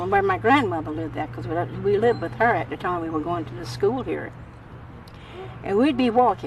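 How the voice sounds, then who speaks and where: A woman speaks at a moderate pace with very wide pitch swings. There is noticeable background noise. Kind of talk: oral history interview answer.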